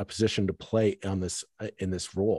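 Speaking with a Canadian accent at a moderate pace, a man has an ordinary speaking voice with ordinary pitch variation and a dry, close sound with no echo. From Toronto suburbs, Ontario, Canada. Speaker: podcast host. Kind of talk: casual political discussion.

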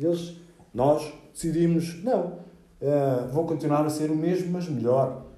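The voice belongs to a man. There is audible room echo around it. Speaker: graffiti artist. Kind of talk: interview. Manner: halting.

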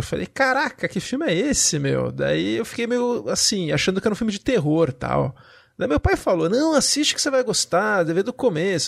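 At a moderate pace, a man speaks. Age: 40s. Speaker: podcast host. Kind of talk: casual chat.

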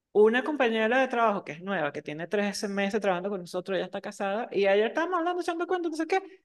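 A woman speaks very fast with hardly any pauses, her fairly high voice swinging very widely in pitch against a quiet background. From Venezuela, Margarita Island. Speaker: podcast co-host. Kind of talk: casual chat.

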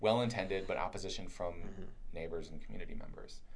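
Audible room echo is present. It surrounds a man's speech. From Kentucky. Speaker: urban planner. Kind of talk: casual interview conversation.

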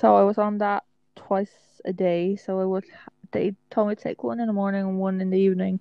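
The speaker has an Irish accent. Intonation stays fairly even at a moderate pace. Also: woman. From Ireland. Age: 20s. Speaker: podcast co-host. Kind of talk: casual chat.

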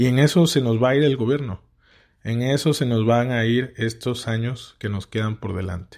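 A man with medium pitch and ordinary pitch variation talks at a moderate pace in a plain, everyday voice, recorded very cleanly against a silent background. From Mexico, Tabasco. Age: 30s. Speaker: podcast host, politician. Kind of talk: political commentary monologue.

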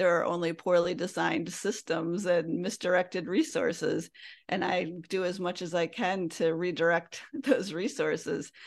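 Against a quiet background, a woman with an American accent has a normal speaking voice at a fairly low pitch. She talks at a moderate pace with ordinary pitch variation. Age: 50s. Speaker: green living and money coach. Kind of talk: interview conversation.

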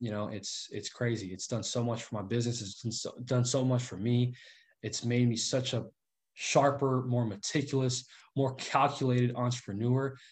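Against a quiet background, a man with a medium pitch and a somewhat breathy voice speaks at a moderate pace. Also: fairly even intonation. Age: 20s. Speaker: real estate investor. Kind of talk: interview on livestream.

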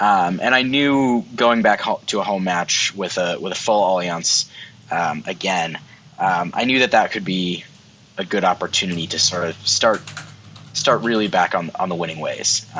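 Noticeable background noise surrounds a man talking at a moderate pace in a fairly low voice with ordinary pitch variation. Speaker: guest host. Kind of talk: casual chat.

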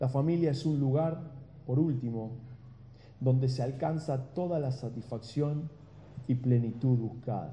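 In an Argentine accent, a man with a dark, mellow, somewhat breathy tone speaks with long, frequent pauses amid audible room echo. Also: medium pitch for a man, fairly even intonation, fairly slow pace. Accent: Argentine Spanish (Rioplatense). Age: 40s. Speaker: pastor. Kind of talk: sermon.

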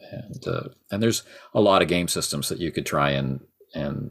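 A man with vocal fry talks at a moderate pace. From Canada. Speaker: tabletop game podcaster. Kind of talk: casual chat.

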